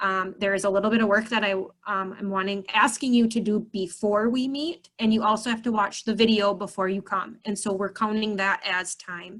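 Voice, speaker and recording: A woman speaks in an ordinary speaking voice at medium pitch and a moderate pace. Her intonation stays fairly even. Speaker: church youth ministry leader. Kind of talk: online orientation meeting. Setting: video call.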